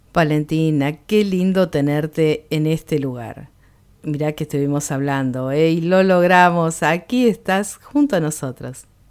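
With a Rioplatense accent, a woman talks at a fairly slow pace in a very deep, low pitch. Her pitch varies in an ordinary way, on a very clean recording with a silent background. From Argentina, Buenos Aires. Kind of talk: casual interview.

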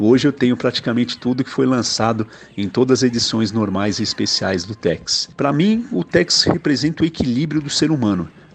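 With a normal speaking voice, a man talks at a moderate pace and medium pitch, using lively intonation and hardly any pauses. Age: 40s. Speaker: IT worker, comic fan. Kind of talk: recorded testimonial message.

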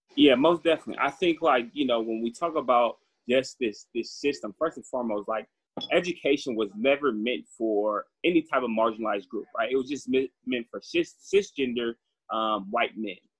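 An ordinary speaking voice from a man with an American accent, medium pitch, ordinary pitch variation and a moderate pace. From Northern California, Antioch. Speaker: graduate student and youth education advocate. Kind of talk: interview. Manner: casual, filler-heavy.

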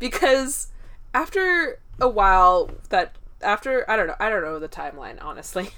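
A woman with a high pitch projects her voice loudly, swinging through very wide pitch changes. Her tone is bright and sharp. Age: 20s. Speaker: podcast co-host. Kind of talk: casual chat.

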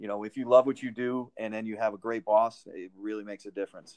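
The speaker has a normal speaking voice and an American accent, talking at a fairly quick pace. The sound is dry and close, with no echo. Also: man. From Connecticut, Winsted. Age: 50s. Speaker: football players' union manager. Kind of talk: interview.

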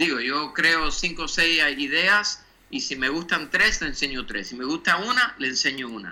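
The speaker is a man with a high pitch. His tone is bright and sharp. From Cuba, then Miami from childhood. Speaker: graphic designer. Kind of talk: interview. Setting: video call. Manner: halting, with repeated words.

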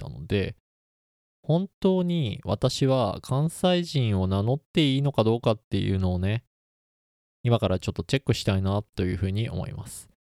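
A man speaks at a moderate pace in a dark, mellow tone. The very clean recording has a silent background and a dry, close sound with no echo. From Kansai, Osaka. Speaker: podcast host, engineer. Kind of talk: casual solo talk.

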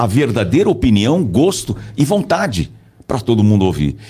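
A man with a plain, everyday voice talks at a fairly slow pace in a medium pitch with lively intonation. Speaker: voice-over announcer and communication coach. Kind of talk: casual interview chat. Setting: studio.

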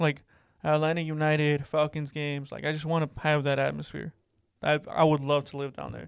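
A man with an unremarkable speaking voice and a fairly high pitch talks at a fairly quick pace with big swings in loudness on a very clean recording with a silent background. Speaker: podcast host. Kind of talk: casual chat.

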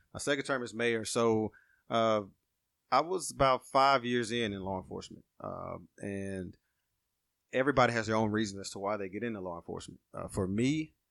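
A man with an Alabama accent, fairly low pitch, ordinary pitch variation and a moderate pace, in a very clean recording with a silent background. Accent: Southern US (Alabama). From Alabama, Walker County. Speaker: small-town mayor and police officer. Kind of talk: casual interview.

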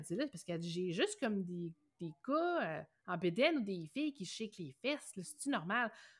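A woman speaks in a somewhat breathy voice with very wide pitch swings. The recording is very clean, with a silent background. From Quebec, Bas-Saint-Laurent (Rimouski). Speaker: entrepreneur, web agency owner. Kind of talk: interview. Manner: fast.

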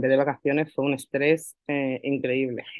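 A woman with a very deep, low pitch. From Málaga, Andalusia, Spain. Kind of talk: personal testimony in interview.

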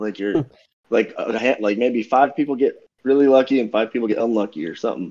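A man with an American accent speaks at a fairly quick pace, his pitch medium. His tone is dark and mellow, with ordinary pitch variation. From Everett, Massachusetts. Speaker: fantasy baseball league member. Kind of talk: casual chat.

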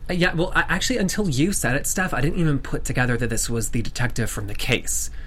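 Over noticeable background noise and audible room echo, a man with an American accent talks very fast. He hardly pauses at all. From US South. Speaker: TV after-show host. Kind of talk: casual chat. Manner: animated.

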